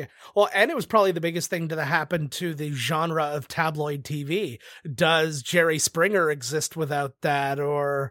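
A man with a Canadian accent and an ordinary speaking voice talks at a fairly slow pace with fairly high pitch and ordinary pitch variation, in a dry, close sound with no echo and a very clean recording with a silent background. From Canada. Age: 30s. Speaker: game show judge. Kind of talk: casual chat.

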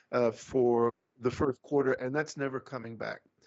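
This man speaks with a South African accent. His voice is medium in pitch, with fairly even intonation. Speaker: economist. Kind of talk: interview.

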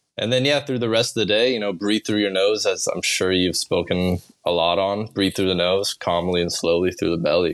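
Hardly pausing, a man talks at a fairly quick pace in a fairly low pitch, with ordinary pitch variation and very even loudness. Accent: American. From Kansas, US Midwest. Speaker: breathwork practitioner. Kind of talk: casual chat. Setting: video call.

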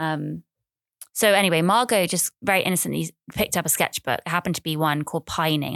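With an English accent and vocal fry, the speaker moves at a fairly quick pace with ordinary pitch variation, recorded very cleanly in a dry, close sound with no echo and a silent background. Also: woman. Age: 30s. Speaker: podcaster. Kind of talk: casual monologue. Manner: animated.

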